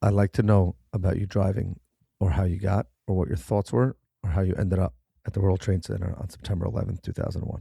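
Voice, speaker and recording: Very fast and somewhat breathy, a man with a very deep, low, dark, mellow voice speaks with ordinary pitch variation in a dry, close sound with no echo. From New York City (Manhattan). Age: 30s. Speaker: podcast host. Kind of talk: interview podcast.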